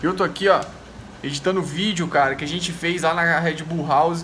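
Light background noise accompanies a man talking at a fairly quick pace and a high pitch. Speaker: race organizer vlogger. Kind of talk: casual vlog chat. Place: home room. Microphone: phone near.

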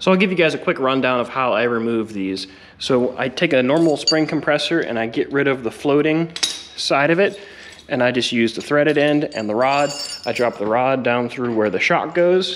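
A man at a moderate pace, ordinary pitch variation, over light background noise. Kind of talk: tutorial. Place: garage. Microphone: phone near.

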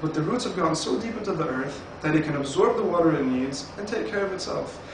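Amid noticeable background noise and audible room echo, a high-pitched man speaks at a very fast pace. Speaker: network marketing presenter. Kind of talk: sales pitch. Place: home room. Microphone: camera far.

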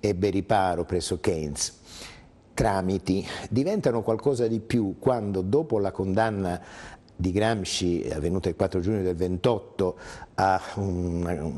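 At a fairly slow pace with long, frequent pauses, a man speaks at a very deep, low pitch in a dark, mellow tone with ordinary pitch variation. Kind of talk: interview answer. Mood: calm, explanatory. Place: studio.

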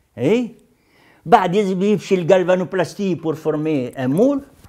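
Lively intonation from a man, quiet background behind him. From Tunisia, Sahel (Moknine); Tunisia. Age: 70s. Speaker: veteran leftist activist; interviewee. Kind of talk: testimony interview. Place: office.

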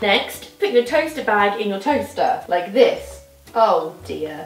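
Faint music plays in the background and there is audible room echo as a woman speaks at a moderate pace. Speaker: presenter. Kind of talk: tutorial. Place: kitchen.

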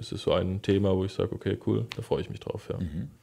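A man speaks against a quiet background. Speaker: traffic controller at a transit company. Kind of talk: casual interview. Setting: conference room with glass wall.

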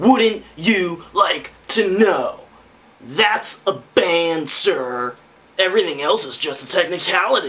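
This is a cartoonish character voice of a man, high in pitch. It goes at a fairly slow pace. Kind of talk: comedy puppet show dialogue.

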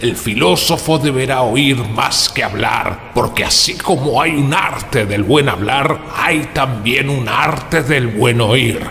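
A man at medium pitch, speaking at a fairly slow pace, with clear background noise. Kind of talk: solemn public oration. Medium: audio drama. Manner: impassioned, preaching.

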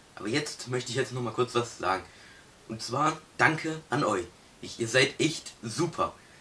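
A man talks at a fairly slow pace with ordinary pitch variation. Light background noise can be heard. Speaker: host introducing his father. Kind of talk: casual talk to camera. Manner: upbeat. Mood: cheerful festive. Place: home room. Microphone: camera far.

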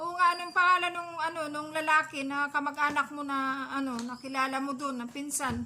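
A woman speaks in a raised, projected voice with a high pitch. Her intonation is fairly even and her pace fairly quick. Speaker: vlogger, solo parent caring for an elderly homeless man. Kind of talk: casual vlog chat. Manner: halting, many fillers.

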